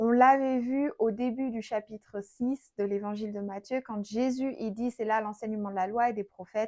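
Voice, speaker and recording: Fairly high in pitch, this woman has an ordinary speaking voice and fairly even intonation. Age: 30s. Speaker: Bible teacher. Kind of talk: Bible study teaching. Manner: conversational.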